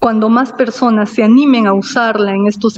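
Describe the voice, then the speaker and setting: A woman talks at a fairly slow pace in a fairly high, somewhat breathy voice. Her intonation stays flat and monotone. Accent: Cusco Andean. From Peru, Cusco (Acomayo). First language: Quechua (speaking Spanish). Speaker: invited speaker, Quechua speaker. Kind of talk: formal speech. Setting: virtual ceremony.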